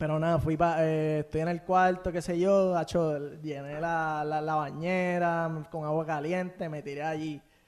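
A man with a Puerto Rican accent speaks fairly slowly at a fairly high pitch, his intonation monotone and flat. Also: hardly any pauses. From Puerto Rico, Bayamón. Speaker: podcast guest, social media page creator. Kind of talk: casual interview chat. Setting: in-person studio.

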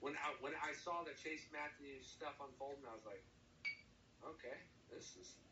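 A man with an American accent speaks at a moderate pace, with audible room echo. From New Jersey. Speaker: country-rap musician. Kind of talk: casual interview.

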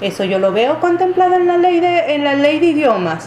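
Recorded with audible room echo and noticeable background noise, a woman's voice swings very widely in pitch. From Venezuela, Wayuu people. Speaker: university lecturer. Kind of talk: interview. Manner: halting, many fillers.

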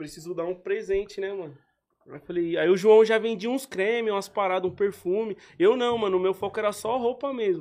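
Talking at a fairly quick pace, a man uses a high pitch. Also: ordinary pitch variation. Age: 20s. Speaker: clothing entrepreneur. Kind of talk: casual chat.

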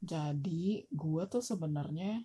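A woman speaks with a fairly low pitch and ordinary pitch variation. Her voice is somewhat breathy with a dark, mellow tone. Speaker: guest living abroad. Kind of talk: casual chat.

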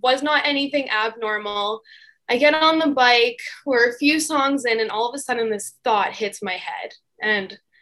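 With a Canadian accent, a woman speaks in a raised, projected voice that is high-pitched, bright and sharp, at a fairly slow pace with ordinary pitch variation. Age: 20s. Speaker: registered nurse. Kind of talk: interview testimony.

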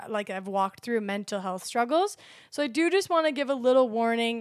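The speaker's intonation is lively, and the recording is very clean with a silent background. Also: woman. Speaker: barista and social media coordinator sharing testimony. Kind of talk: personal testimony; reading scripture aloud.

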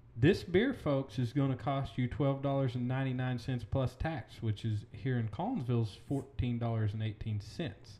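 Moderately paced, somewhat breathy speech in an American accent, with a dark, mellow tone and ordinary pitch variation. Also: man, medium pitch for a man. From Oklahoma. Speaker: podcast host, real estate agent. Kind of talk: casual chat.

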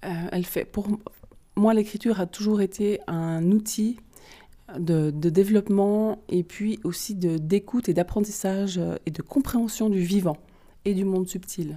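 At a fairly slow pace, a woman with a medium pitch and a dark, mellow tone speaks in fairly even intonation, leaving long, frequent pauses. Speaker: holistic therapist and card reader. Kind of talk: interview.

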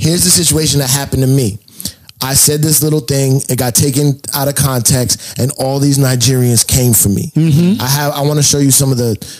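Against noticeable background noise, a man with an American accent talks at a fairly quick pace in a fairly high pitch, his intonation fairly even and his loudness very even. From New York. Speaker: DJ and comedian. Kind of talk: casual chat.

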